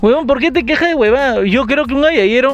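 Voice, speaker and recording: This man's pitch swings very widely as he talks at a moderate pace. Background noise is noticeable. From Peru, Lima. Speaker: podcast co-host. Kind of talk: casual chat. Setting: recording studio.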